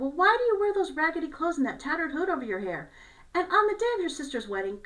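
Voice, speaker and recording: A squeaky, put-on character voice from a woman, extremely high in pitch, with very wide pitch swings and a very fast pace. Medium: read story.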